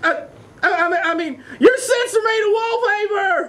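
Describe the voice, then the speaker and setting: A cartoonish character voice at an extremely high pitch moves at a moderate pace. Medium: puppet show.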